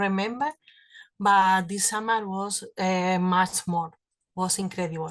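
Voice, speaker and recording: A woman with a Spanish accent speaks at medium pitch and a fairly slow pace. The background is quiet. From Spain. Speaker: cancer survivor. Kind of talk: testimony. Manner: halting.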